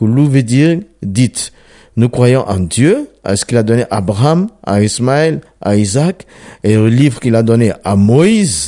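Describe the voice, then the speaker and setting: Speaking at a fairly slow pace, a man with a medium pitch and a dark, mellow tone makes very wide pitch swings. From Ivory Coast. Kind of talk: testimony.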